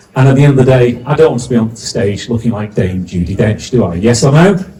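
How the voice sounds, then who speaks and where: At a fairly quick pace, a man with a medium pitch makes very wide pitch swings. Audible room echo surrounds his voice. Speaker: compere, business mentor. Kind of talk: event compering to live audience. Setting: stage with audience. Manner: animated.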